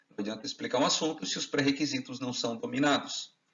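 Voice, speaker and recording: Pitch leaps up and down enormously in this voice. The speaker is male. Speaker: chemistry teaching lecturer. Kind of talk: lecture. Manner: fast.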